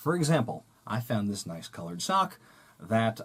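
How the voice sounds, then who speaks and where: This man talks with a fairly low pitch. He has a normal speaking voice and keeps a moderate speed. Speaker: puppeteer. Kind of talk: children's educational tutorial. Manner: upbeat, friendly.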